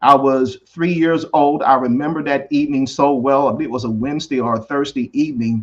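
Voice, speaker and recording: A man speaks with an American accent and hardly any pauses. His intonation stays fairly even. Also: fairly high pitch for a man. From US South. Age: 60s. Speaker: essay writer discussing family legacy. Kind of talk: interview. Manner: halting.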